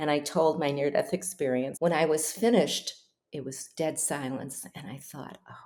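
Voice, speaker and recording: A woman at a moderate pace. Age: 80s+. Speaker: near-death experience researcher and author. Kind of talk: interview storytelling.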